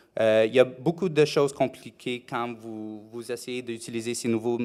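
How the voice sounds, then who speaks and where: Fairly even intonation and a fairly slow pace come across on a very clean recording with a silent background. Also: man. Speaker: conference speaker on rental marketing. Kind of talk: conference presentation. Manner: halting, many hesitations.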